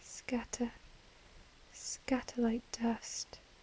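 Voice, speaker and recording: In an English accent, a woman whispers at a very slow pace. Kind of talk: ASMR relaxation video. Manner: soft-spoken.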